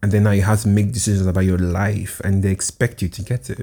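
Fairly low in pitch, a man talks at a very fast pace with a dark, mellow tone and fairly even intonation. He is somewhat breathy, on a very clean recording with a silent background. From Nigeria. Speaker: podcast host. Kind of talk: solo podcast monologue.

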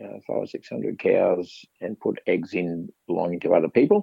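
An Australian-accented man speaks at a moderate pace. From Queensland, Australia (Granite Belt). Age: 50s. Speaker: cattle vet. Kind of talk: interview. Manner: halting.

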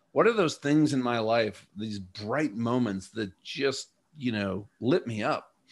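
On a very clean recording with a silent background, a man has an ordinary speaking voice, medium in pitch with ordinary pitch variation. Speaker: former fighter pilot turned coach and speaker. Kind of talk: interview.

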